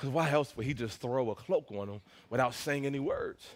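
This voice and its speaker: With an animated tone, a man talks at a very fast pace. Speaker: pastor. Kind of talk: sermon.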